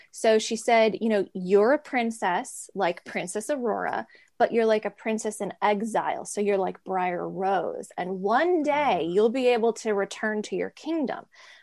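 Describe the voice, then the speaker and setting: Against a quiet background, a woman with an unremarkable speaking voice and an American accent speaks at a fairly slow pace, with a fairly high pitch and lively intonation. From US, DC area and New York. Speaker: artist and former cult member. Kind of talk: interview testimony.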